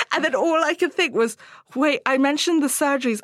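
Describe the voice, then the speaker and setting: Noticeable background noise sits behind a woman whose high voice moves with lively intonation. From Hong Kong. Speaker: body confidence coach and author. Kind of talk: interview.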